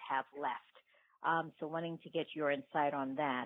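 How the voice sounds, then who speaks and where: Her intonation monotone and flat, a woman speaks at a moderate pace in a very deep, low pitch. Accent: American. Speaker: voicemail caller.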